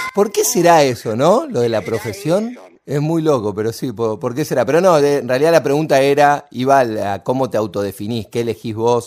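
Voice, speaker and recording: With an unremarkable speaking voice, a man talks at a medium pitch and a moderate pace, his intonation lively and hardly any pauses between phrases. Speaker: radio host. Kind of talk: radio interview.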